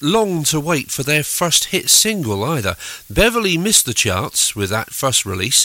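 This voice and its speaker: A man talks in a relaxed tone. His pitch swings very widely. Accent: English. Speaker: radio DJ. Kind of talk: radio DJ patter introducing 1960s records, chatty and informative. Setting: radio studio. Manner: relaxed, conversational, easy-going, with ums and asides.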